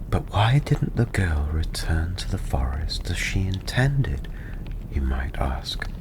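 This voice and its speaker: Noticeable background noise is present throughout. Over it, a man talks very slowly. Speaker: tavern storyteller, ASMR performer. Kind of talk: fairy-tale story narration. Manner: softly spoken.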